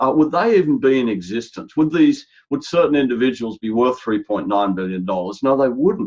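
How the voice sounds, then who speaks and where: In an Australian accent, a man talks at a fairly quick pace with hardly any pauses. His medium-pitched voice has lively intonation. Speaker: healthcare strategy executive. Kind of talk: podcast interview. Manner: animated; halting.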